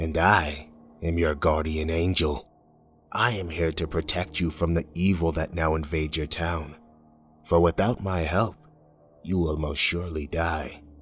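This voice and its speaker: Putting on a booming character voice, a man speaks at a moderate pace in a very deep, low pitch as faint music plays in the background. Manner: solemn, commanding, reassuring.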